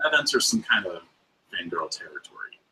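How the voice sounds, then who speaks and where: A man with a Mid-Atlantic US accent talks at a fairly quick pace. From US Mid-Atlantic. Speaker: podcast guest, fiber arts personality. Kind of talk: casual interview chat.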